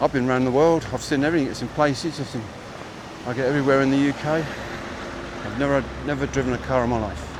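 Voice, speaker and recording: Speaking very fast in a southeast English accent, a man has a fairly high pitch and takes long, frequent pauses. Noticeable background noise is present. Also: fairly even intonation. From southeast England, Chatham, Kent. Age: 60s. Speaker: walking livestreamer. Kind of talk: casual chat. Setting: outdoors. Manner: halting.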